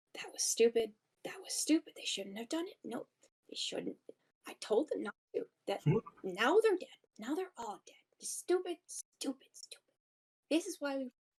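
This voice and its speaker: In a put-on character voice, the speaker mumbles in a squeaky, high pitch with very wide pitch swings, keeping a moderate pace broken by long, frequent pauses. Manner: mumbling to himself.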